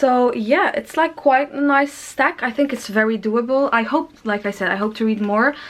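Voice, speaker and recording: Speaking with a non-native accent, a woman uses a high pitch and ordinary pitch variation. Her pace is moderate, with hardly any pauses. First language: not English. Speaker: book youtuber. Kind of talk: casual vlog talk. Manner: halting.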